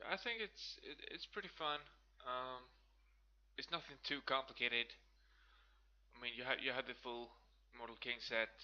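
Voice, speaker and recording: With a Swedish accent, a man speaks at a medium pitch and moderate pace with ordinary pitch variation. His tone is bright and sharp, and he takes long, frequent pauses. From Sweden. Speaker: gaming video creator. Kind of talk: gameplay commentary. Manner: casual, hesitant with many fillers.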